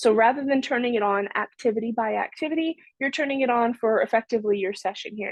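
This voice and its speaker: The sound is dry with no echo. A woman speaks very fast with ordinary pitch variation. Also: quiet background. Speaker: software trainer. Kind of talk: tutorial. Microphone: video call.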